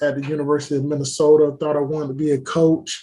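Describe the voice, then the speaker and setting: With a dark, mellow tone and a fairly high pitch, a man talks at a fairly quick pace in monotone, flat intonation. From Florida, Fort Lauderdale. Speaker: sports executive, former college football player. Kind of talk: casual interview.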